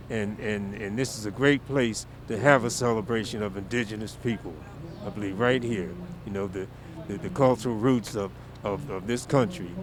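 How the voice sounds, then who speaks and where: Speaking at a moderate pace, a man uses a fairly low pitch and ordinary pitch variation while noticeable background noise sits behind him. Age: 70s. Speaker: drum and dance group director. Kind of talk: interview. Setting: outdoors. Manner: halting, many repeated words.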